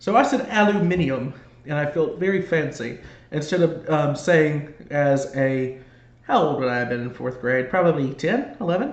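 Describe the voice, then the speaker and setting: A man with an American accent, fairly high in pitch and somewhat breathy, with ordinary pitch variation, a moderate pace and audible room echo. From Georgia, US. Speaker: sports fan commentator. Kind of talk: live play-by-play commentary and casual chat. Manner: trouble pronouncing R's and L's.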